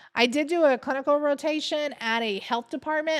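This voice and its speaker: A woman comes through on a very clean recording with a silent background. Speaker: nurse educator and livestream host. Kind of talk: casual chat. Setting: livestream. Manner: loud.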